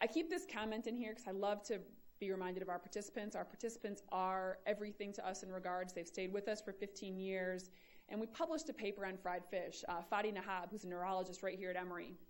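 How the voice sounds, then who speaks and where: Speaking at a very fast pace, a woman with an American accent has a medium pitch and ordinary pitch variation. Audible room echo surrounds her voice. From Michigan, US Midwest. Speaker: epidemiology professor. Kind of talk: lecture.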